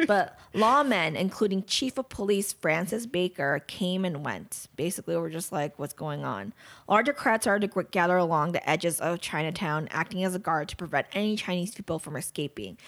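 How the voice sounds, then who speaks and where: A woman with an American accent and a plain, everyday voice talks at a moderate pace with hardly any pauses, her pitch fairly low and her intonation lively. The recording is very clean, with a silent background. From Los Angeles, US. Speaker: true crime podcast co-host. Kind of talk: casual chat, partly reading a story.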